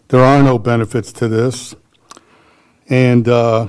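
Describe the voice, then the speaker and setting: With fairly even intonation, an ordinary speaking voice proceeds at a moderate pace. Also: man. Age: 60s. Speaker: public commenter, landlord. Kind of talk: public hearing comment.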